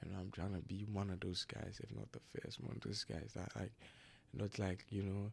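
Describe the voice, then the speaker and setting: Somewhat breathy, a man speaks with a fairly low pitch and ordinary pitch variation. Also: moderate pace. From Ghana. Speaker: basketball player. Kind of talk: casual chat.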